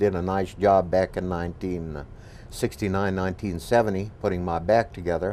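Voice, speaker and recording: This man's voice sits fairly low in pitch. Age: 60s. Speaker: patient and golf professional. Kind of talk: testimony. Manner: halting.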